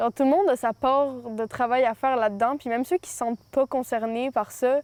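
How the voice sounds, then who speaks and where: A woman's high-pitched voice at a moderate pace, in dry, close sound with no echo. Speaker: interviewee. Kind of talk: interview.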